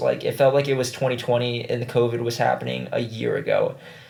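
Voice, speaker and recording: A man is talking at a fairly quick pace. Background noise is noticeable. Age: 20s. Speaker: vlogger. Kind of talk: casual chat. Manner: casual, halting with fillers.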